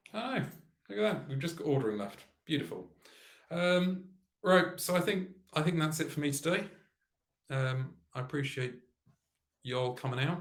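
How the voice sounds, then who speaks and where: At a moderate pace, a man with a fairly high pitch uses lively intonation and takes long, frequent pauses. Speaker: programmer live-streaming coding. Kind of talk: live coding stream. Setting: livestream. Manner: halting.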